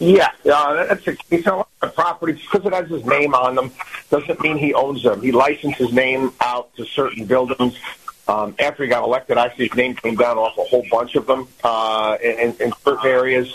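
Noticeable background noise sits behind the speaker. The pace is moderate, with ordinary pitch variation. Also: man, medium pitch for a man. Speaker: financial commentator. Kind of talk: interview on markets. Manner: hesitant, filler-heavy.

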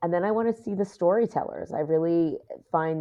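A woman speaks with an American accent. Her pace is moderate and her pitch variation ordinary. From New York City, Queens. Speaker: Disney fan and Instagram creator. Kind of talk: casual chat.

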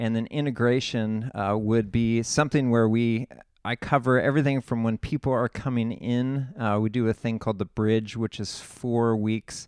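Over a quiet background, a man with an American accent speaks at a medium pitch and moderate pace with fairly even intonation, the sound dry and close with no echo. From California Central Coast (San Luis Obispo area). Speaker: pastor. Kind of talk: casual interview. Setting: church lounge room.

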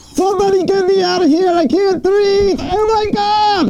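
In a put-on character voice with a panicked tone, the speaker goes at a moderate pace over clear background noise. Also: man, extremely high pitch for a man. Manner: panicked, desperate.

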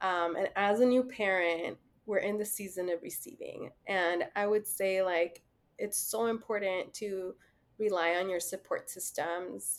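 With an unremarkable speaking voice, a woman speaks fairly slowly at medium pitch with ordinary pitch variation. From Mexican-American, US. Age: 30s. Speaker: social worker, mother. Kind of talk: casual interview. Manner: frequent laughter and fillers.

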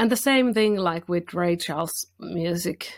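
On a very clean recording with a silent background, a woman with a Finnish accent speaks at a fairly low pitch with ordinary pitch variation. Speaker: blues singer and guitarist. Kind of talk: casual interview.

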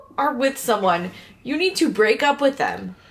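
At a moderate pace, a woman with an American accent speaks over noticeable background noise. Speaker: podcast host. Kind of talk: casual chat.

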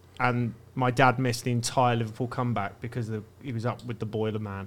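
Speaking at a medium pitch, a man talks in a southern English accent. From Brighton, southern England. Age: 30s. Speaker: comedian. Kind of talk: casual chat.

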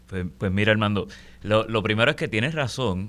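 The man's voice is fairly low with a bright, sharp tone and fairly even intonation, on a very clean recording with a silent background. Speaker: lawyer, guest co-host. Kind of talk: radio talk show discussion. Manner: halting, many fillers.

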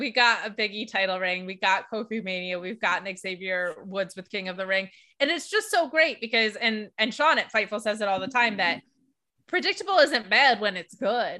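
A woman with an American accent speaks at a moderate pace in a fairly high pitch. Her tone is animated, bright and sharp. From upstate New York (Binghamton). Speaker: wrestling journalist and podcaster. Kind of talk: casual chat.

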